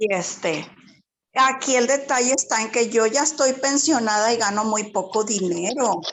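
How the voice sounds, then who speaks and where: The woman's voice sits at a fairly high pitch. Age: 60s. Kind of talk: personal testimony in online workshop.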